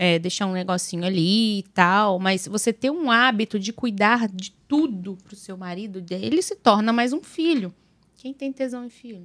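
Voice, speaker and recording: A woman with a plain, everyday voice and medium pitch speaks at a fairly slow pace with lively intonation and big swings in loudness. The recording is very clean, with a silent background. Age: 30s. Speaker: podcast co-host, new mother. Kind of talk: casual podcast chat.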